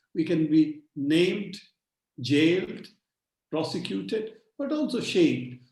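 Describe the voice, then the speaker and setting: A man's dark, mellow voice, fairly high in pitch, with very wide pitch swings, a fairly slow pace and audible room echo. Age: 70s. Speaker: digital rights activist. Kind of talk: webinar talk.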